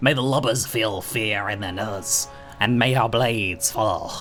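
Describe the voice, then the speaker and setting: Over clear music in the background, a man uses a put-on character voice at a medium pitch and a moderate pace. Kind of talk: archaic pirate speech. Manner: swashbuckling rallying cry.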